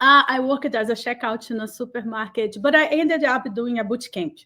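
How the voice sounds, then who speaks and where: With a Brazilian Portuguese accent, a woman speaks at a moderate pace with a high pitch, a bright, sharp tone, and ordinary pitch variation. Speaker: cloud community builder. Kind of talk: interview. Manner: animated.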